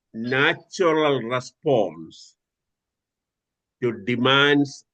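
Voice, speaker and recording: At a very slow pace, a man speaks in a bright, sharp tone. His pitch is medium, with ordinary variation. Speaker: doctor teaching a stress course. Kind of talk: online lecture. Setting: video call. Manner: hesitant, many filler sounds.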